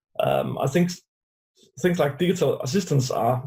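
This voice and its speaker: A man speaks with a Danish accent in a dark, mellow tone. He sounds somewhat breathy, and his intonation is fairly even. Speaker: UX designer. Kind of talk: interview.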